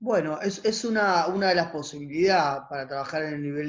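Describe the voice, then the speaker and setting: An unremarkable speaking voice at a moderate pace. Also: man. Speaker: teacher-training college lecturer. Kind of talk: online class lecture. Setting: video call.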